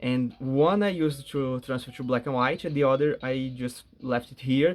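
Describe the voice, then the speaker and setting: Ordinary pitch variation in an Portuguese accent, with music in the background. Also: man. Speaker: gaming YouTuber. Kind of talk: casual gameplay commentary. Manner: halting.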